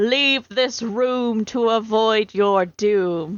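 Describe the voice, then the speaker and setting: A woman speaks in a put-on character voice. Her pitch sits fairly high, and she talks very slowly. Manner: ominous, warning.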